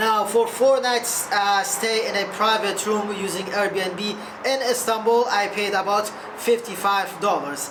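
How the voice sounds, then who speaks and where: A woman speaks at a fairly slow pace and a medium pitch, with fairly even intonation. There is audible room echo and noticeable background noise. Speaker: travel vlogger. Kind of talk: casual travel vlog.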